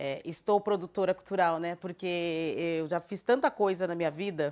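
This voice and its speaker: A woman speaks in an unremarkable speaking voice, fairly low in pitch, at a moderate pace with ordinary pitch variation. The recording is very clean, with a silent background. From southern Brazil, Florianópolis. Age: 50s. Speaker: cultural producer. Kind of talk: documentary interview.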